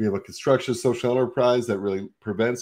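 A man's dark, mellow tone with fairly even intonation, over a quiet background. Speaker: podcast host. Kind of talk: podcast intro. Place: home room. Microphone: video call.

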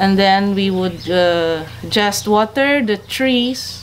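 Over light background noise, a woman at a medium pitch talks at a very slow pace with ordinary pitch variation. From Philippines. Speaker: coffee farmer and cafe owner. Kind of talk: explanatory tour talk. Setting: outdoors on a farm. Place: farm machine.

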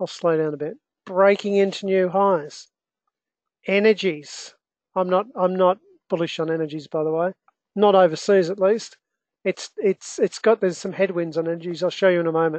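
A woman with an Australian accent speaks at a moderate pace with fairly even intonation and long, frequent pauses. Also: medium pitch for a woman, quiet background. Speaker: investment educator and trader. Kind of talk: live online market analysis webinar. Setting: online webinar with screen share.

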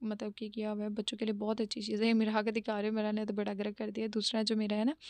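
A woman speaks in a dry sound with no echo against a quiet background. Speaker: lifestyle vlogger. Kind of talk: casual vlog narration. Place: home room.

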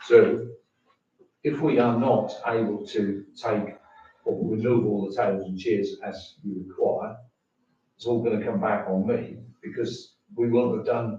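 Audible room echo trails a man who speaks fairly slowly. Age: 70s. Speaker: member of the public at a council meeting. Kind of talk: public comment at council meeting. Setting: town council meeting room. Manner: halting.

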